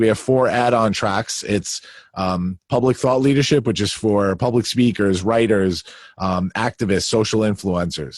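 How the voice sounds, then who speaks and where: In a very clean recording with a silent background and a dry, close sound free of echo, a man with a Long Island accent talks at a moderate pace in a fairly low pitch with ordinary pitch variation. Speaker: leadership coach. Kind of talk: interview. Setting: home basement.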